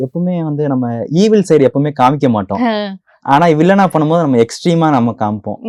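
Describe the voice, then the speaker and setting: A man with a Kongu accent speaks at a fairly high pitch with very wide pitch swings, the sound dry and close with no echo. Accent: Kongu Tamil. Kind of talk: casual, conversational interview speech.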